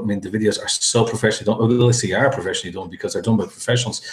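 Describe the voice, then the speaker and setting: Someone with a strong Irish accent talks at a very fast pace. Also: man. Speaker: interview host and product reviewer. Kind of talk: interview.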